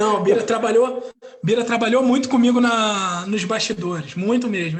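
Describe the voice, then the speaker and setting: At a moderate pace, a man speaks in a high pitch with ordinary pitch variation amid audible room echo. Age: 30s. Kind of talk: casual chat.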